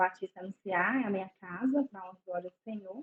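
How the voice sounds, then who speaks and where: A normal speaking voice, its pitch variation ordinary and its pace moderate. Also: woman. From Belo Horizonte, Minas Gerais, Brazil. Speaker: psychologist. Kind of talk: casual interview chat.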